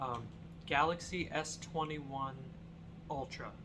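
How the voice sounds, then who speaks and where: A man's voice with audible room echo. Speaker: YouTuber. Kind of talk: casual vlog chat. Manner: rambling, halting with fillers.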